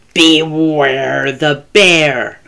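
In a put-on character voice, a woman growls with vocal fry at a very slow pace, her pitch low and her tone fairly bright, keeping her intonation fairly even.

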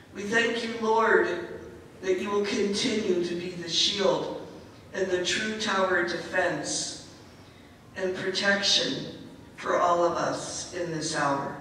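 There is strong room echo and light background noise as a woman speaks at a medium pitch. She takes long, frequent pauses. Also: ordinary pitch variation, fairly slow pace. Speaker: prayer leader. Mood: earnest, reverent. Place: hall.

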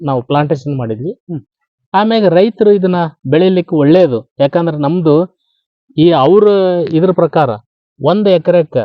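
A man's high-pitched voice with lively intonation. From North Karnataka, Koppal district. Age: 60s. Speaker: farmer. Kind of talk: interview.

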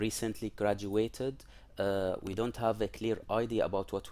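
A dark, mellow tone at a moderate pace with fairly even intonation. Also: man. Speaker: presenter. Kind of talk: lecture. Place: home room. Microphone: headset.

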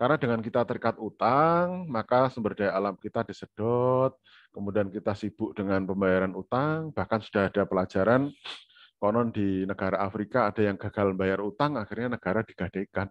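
Against a quiet background, a man speaks in a normal speaking voice at a fairly low pitch. His pitch variation is ordinary, his pace fairly quick, and the sound dry with no echo. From Indonesia. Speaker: university lecturer. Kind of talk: online lecture. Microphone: video call.

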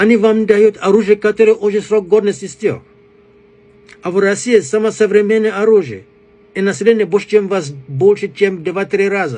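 A high-pitched man's voice at a moderate pace, with ordinary pitch variation and long, frequent pauses. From Africa. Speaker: commentator addressing a foreign audience. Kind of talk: political appeal to camera. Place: home room. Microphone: phone near.

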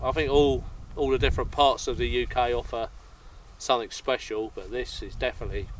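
Audible room echo surrounds a man speaking at a fairly quick pace. His medium-pitched voice keeps fairly even intonation.

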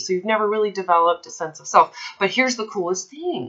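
A woman at a moderate pace with very wide pitch swings, against a quiet background. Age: 30s. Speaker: eating disorder recovery coach; coach in consult. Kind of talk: one-on-one coaching consultation. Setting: recorded call with a client. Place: home room. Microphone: webcam.

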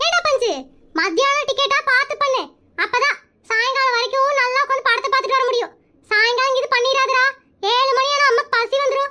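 A woman's cartoonish character voice at an extremely high pitch, with fairly even intonation and very even loudness. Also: moderate pace. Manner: boastful, bossy.

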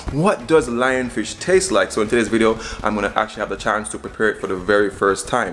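Light background noise sits behind a man talking very fast with lively intonation. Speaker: cooking vlogger. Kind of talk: casual vlog chat. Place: kitchen. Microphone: phone near.

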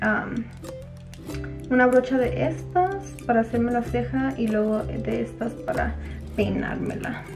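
Over clear music in the background, a woman speaks at a fairly slow pace with long, frequent pauses. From Durango, Mexico. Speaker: beauty vlogger. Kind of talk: casual makeup tutorial talk to camera. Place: home room. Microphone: camera far.

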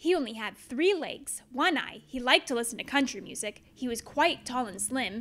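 Playful and upbeat, a woman with a high pitch and a bright, sharp tone projects a raised voice at a moderate pace with ordinary pitch variation. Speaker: teacher. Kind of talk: children's storybook read-aloud. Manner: playful, upbeat.

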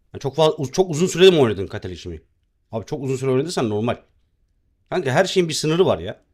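A man's very fast speech with vocal fry and lively intonation. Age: 30s. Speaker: game streamer. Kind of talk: live gaming stream chat. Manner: casual, chatty.

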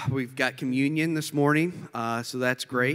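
Faint music plays in the background beneath fairly even intonation. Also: man. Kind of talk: church announcements. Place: church.

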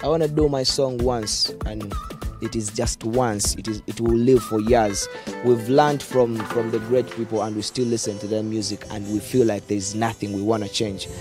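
A man at a medium pitch and moderate pace, fairly even in intonation, with a dry sound with no echo and clear music in the background. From Uganda. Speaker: dancehall musician. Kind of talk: interview answer. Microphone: handheld.

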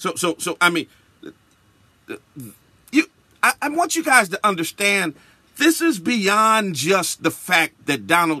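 A man speaks with a passionate, bright, sharp tone at a fairly slow pace, his pitch swinging very widely between long, frequent pauses in a dry sound with no echo. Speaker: bishop, radio broadcaster. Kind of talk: spoken-word radio commentary. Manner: emphatic, passionate. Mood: indignant. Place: studio. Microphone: studio mic.

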